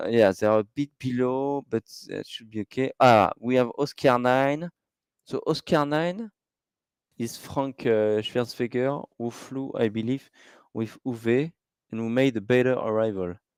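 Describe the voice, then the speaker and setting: A man with a French accent speaks at a medium pitch with ordinary pitch variation, recorded dry and close with no echo, very clean against a silent background. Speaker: live race commentator. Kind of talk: live commentary. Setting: live stream. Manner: halting.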